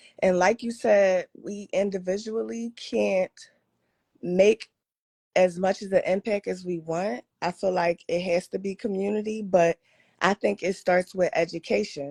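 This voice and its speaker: A woman speaks at a fairly slow pace in a medium pitch with ordinary pitch variation, in a dry, close sound with no echo. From Philadelphia, South Philly. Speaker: caller, podcaster. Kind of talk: call-in question to lecturer. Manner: casual, filler-heavy.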